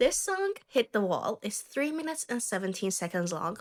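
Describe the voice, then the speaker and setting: A woman with a non-native accent speaks at a fairly quick pace. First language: not English. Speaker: songwriter music reactor. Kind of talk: casual reaction video.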